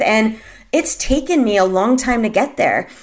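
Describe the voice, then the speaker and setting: A woman has a plain, everyday voice, pitched fairly high and moving at a moderate pace. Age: 30s. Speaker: podcast host. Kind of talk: solo podcast monologue. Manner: casual with many fillers.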